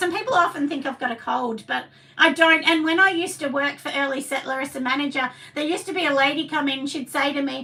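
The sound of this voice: A woman talks at a fairly quick pace in a high, husky voice with a bright, sharp tone, vocal fry and ordinary pitch variation.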